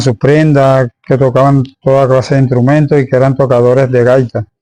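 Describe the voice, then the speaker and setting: In a dark, mellow tone, a man talks at a medium pitch. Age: 60s. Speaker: local tradition bearer and former tomb excavator. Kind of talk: interview. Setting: interviewee's home.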